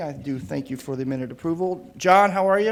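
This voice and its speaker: Room echo is audible around this man's voice. His pitch varies in an ordinary way. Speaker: city council committee chair. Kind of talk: council meeting chairing.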